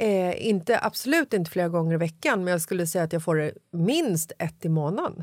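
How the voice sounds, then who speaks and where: In a very clean recording with a silent background, a woman with an ordinary speaking voice talks at a fairly quick pace, with hardly any pauses, ordinary pitch variation and very even loudness. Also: fairly low pitch for a woman. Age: 40s. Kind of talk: casual chat.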